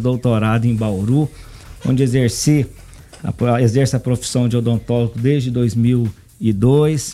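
The speaker has a normal speaking voice. The intonation stays fairly even. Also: man. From Brazil, Anápolis, Goiás. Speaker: politician and dentist. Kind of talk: radio interview.

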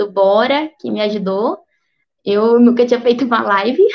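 A woman speaks in an ordinary speaking voice, fairly high in pitch and fairly even in intonation. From southern Minas Gerais, Brazil. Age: 20s. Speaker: doctor. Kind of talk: career talk on a livestream. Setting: online livestream.

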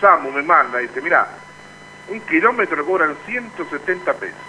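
A man's high-pitched, raised and projected voice with lively intonation, a moderate pace and noticeable background noise. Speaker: union radio show host. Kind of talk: casual radio chat.

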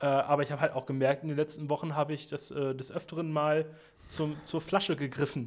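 A man at a fairly quick pace, his pitch fairly high and his intonation monotone and flat. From western Germany (Sauerland, Arnsberg). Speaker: musician. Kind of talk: casual chat. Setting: remote call.

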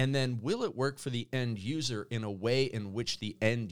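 With a Canadian accent, a man has an ordinary speaking voice, medium pitch, ordinary pitch variation and a moderate pace. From Canada. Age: 40s. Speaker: business coach. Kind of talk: casual chat. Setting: studio.

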